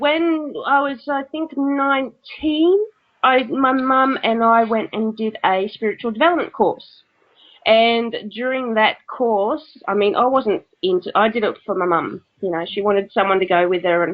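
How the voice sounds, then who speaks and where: An Australian accent with lively intonation at a fairly slow pace. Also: woman, fairly high pitch for a woman. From Australia (Brisbane, Queensland). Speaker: spiritual writer and medium. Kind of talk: interview.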